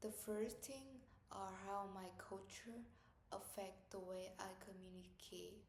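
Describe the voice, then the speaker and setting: Speaking very slowly, a woman with a Vietnamese accent keeps a medium pitch and fairly even intonation. Audible room echo and noticeable background noise surround her voice. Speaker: student. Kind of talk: class presentation.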